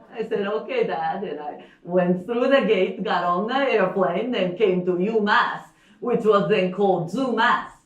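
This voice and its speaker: At a medium pitch with ordinary variation, a woman speaks at a fairly slow pace. The recording carries audible room echo and noticeable background noise. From Japan, Osaka. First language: Japanese. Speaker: storyteller. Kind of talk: storytelling performance. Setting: stage with live audience. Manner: halting, with fillers.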